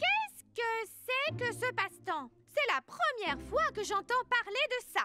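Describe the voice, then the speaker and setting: A cartoonish character voice sounds female and extremely high-pitched. It moves at a fairly slow pace with hardly any pauses. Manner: haughty, clucking.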